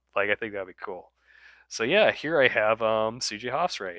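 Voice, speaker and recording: A fairly low-pitched man at a moderate pace, dry and close with no echo, on a very clean recording with a silent background. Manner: casual, hesitant, off the cuff.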